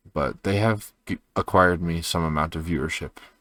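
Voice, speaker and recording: The voice is quiet and shows vocal fry. It moves at a moderate pace. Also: man. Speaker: video journal creator. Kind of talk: personal video journal. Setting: at home at night. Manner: quiet, low energy; hesitant, many fillers.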